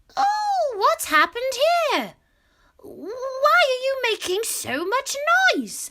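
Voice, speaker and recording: A squeaky, put-on character voice speaks at a very slow pace, with long, frequent pauses and very wide pitch swings. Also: woman, extremely high pitch for a woman. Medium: read story.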